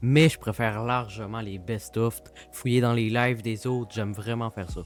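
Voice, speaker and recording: Music plays behind a man in a Quebec accent who talks at a moderate pace, with medium pitch and ordinary pitch variation. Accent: Québécois. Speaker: video editor. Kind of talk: casual interview answers.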